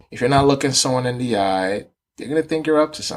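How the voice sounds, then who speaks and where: In an American accent, a man uses a plain, everyday voice at a medium pitch with ordinary pitch variation. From Nigeria, then New York City from age ten. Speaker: physical therapy student. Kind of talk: podcast interview storytelling.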